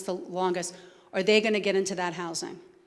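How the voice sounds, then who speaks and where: In a New Jersey accent, a woman speaks with audible room echo around her. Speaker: homeless services administrator. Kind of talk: Q&A after a talk. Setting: church event with audience.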